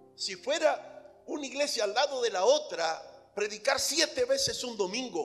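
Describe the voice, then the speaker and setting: Over music in the background, a man talks at a very slow pace with very wide pitch swings. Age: 60s. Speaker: pastor. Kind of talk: sermon.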